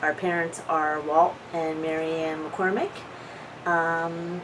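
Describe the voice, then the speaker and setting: A woman with an American accent talks at a very slow pace and a fairly low pitch. Noticeable background noise and audible room echo fill the recording. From New Jersey (Audubon). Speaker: oral history interviewee. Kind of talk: casual reminiscing interview.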